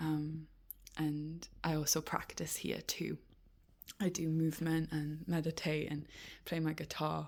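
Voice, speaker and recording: A woman with a Geordie accent speaks at a fairly slow pace in a very deep, low voice, her intonation monotone and flat, her loudness very even and her pauses long and frequent. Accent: Geordie (Newcastle English). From northeast England, Newcastle. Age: 20s. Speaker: animal rights activist. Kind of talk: personal video diary. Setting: in her room. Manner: hesitant, with fillers.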